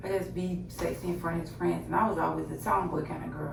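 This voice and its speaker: Soft-spoken and very fast, a woman talks amid noticeable background noise and audible room echo. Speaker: YouTuber. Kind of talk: personal testimony. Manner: soft-spoken, talking low; halting.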